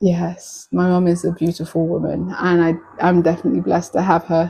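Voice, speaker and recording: With a British accent, a woman talks at a fairly quick pace in a fairly low, dark, mellow voice that is somewhat breathy, with flat, monotone intonation and very even loudness. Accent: UK. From UK, Nigerian heritage. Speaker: live streamer. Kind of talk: casual chat.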